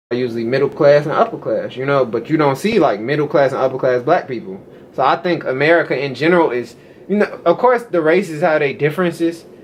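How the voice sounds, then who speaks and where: Delivery is very fast, with lively intonation. There is noticeable background noise. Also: man, fairly high pitch for a man. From US. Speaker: American interviewee on culture. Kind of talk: casual chat.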